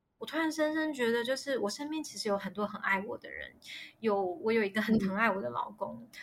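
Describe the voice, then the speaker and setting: A woman talks at a fairly quick pace in a fairly high, somewhat breathy voice. Her intonation is lively. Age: 30s. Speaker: miscarriage story guest. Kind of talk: personal testimony interview. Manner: halting, many fillers.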